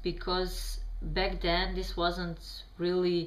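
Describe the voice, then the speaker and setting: A woman at a fairly slow pace, audible room echo around her. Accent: Bosnian. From Bosnia. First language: Bosnian. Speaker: vlogger answering questions. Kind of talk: reading prepared answers to camera. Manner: halting, many fillers.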